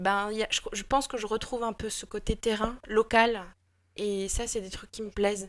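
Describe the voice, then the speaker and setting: Her fairly high voice keeps a monotone, flat intonation at a moderate pace. This woman's loudness swings widely. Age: 40s. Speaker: improv actor. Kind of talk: casual interview. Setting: remote call.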